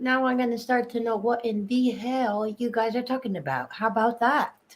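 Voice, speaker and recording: With a slight English accent, a woman talks at a fairly quick pace in an animated tone and a high pitch, barely pausing. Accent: picking up slight local English inflections. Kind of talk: casual chat.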